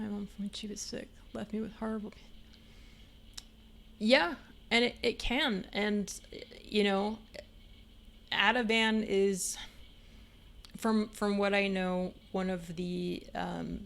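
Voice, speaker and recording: A woman speaks at a very slow pace with long, frequent pauses. Her intonation is fairly even, but her loudness swings widely. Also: medium pitch for a woman. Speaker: streamer. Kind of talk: casual chat. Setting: live stream. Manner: rambling with fillers.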